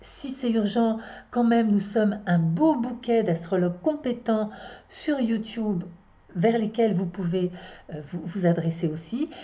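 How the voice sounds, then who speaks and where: Very slowly, a woman speaks in a somewhat breathy, fairly high voice with lively intonation. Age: 60s. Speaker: astrologer and psychotherapist. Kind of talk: casual monologue to viewers. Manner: halting, many hesitations.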